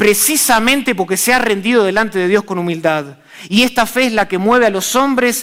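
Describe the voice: The delivery is plain reading aloud. Its pitch moves up and down in an ordinary way.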